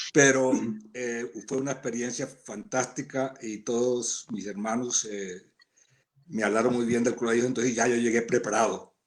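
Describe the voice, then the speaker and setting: A man's medium-pitched voice in a flat monotone at a fairly slow pace. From Colombia, Santa Marta (Caribbean coast). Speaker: school alumnus. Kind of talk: casual reminiscing. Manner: halting, stammering repetitions.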